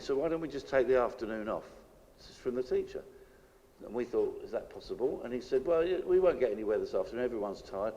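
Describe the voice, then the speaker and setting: Here a man talks very fast with a British accent. His loudness swings in a big way. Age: 60s. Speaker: political activist. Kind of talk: public speech. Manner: hesitant, with repeated restarts.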